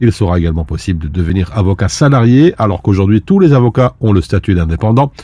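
With a dark, mellow tone, a man talks at a fairly quick pace. His intonation is lively. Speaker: radio news presenter. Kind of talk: news reading. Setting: studio.

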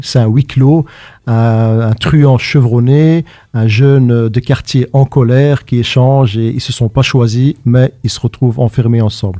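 A man's ordinary speaking voice at a medium pitch, fairly slow and fairly even in intonation, dry and close with no echo. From Brussels, Belgium. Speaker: playwright and stage actor. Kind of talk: casual chat.

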